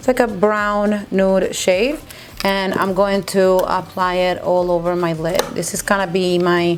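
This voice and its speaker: A woman's medium-pitched voice at a fairly slow pace, with audible room echo. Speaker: beauty youtuber. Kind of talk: makeup tutorial. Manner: mumbling; casual, chatty.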